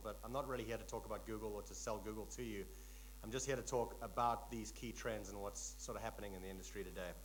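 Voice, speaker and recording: A man talks in a space with audible room echo. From South Africa. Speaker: tech company executive, conference speaker. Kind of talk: conference keynote talk. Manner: relaxed, frequent fillers.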